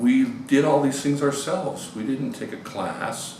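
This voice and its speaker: Audible room echo and noticeable background noise accompany a man talking at a fairly slow pace. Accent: American. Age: 60s. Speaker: experimental musician. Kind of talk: interview. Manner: hesitant, many fillers.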